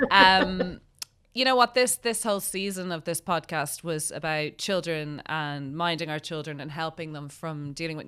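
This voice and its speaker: With an Irish accent, a woman speaks at a very deep, low pitch in a bright, sharp tone, with ordinary pitch variation. Her pace is moderate, and the recording is very clean with a silent background. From Ireland. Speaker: podcast host. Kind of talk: interview.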